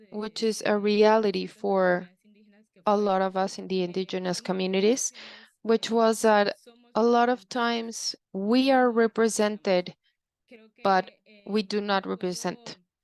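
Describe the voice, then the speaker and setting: A woman with a Nicaraguan accent at a medium pitch, monotone and flat, at a fairly slow pace with long, frequent pauses, in a dry, close sound with no echo and a quiet background. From Nicaraguan Caribbean coast. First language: Miskito. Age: young. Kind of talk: panel presentation. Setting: video call.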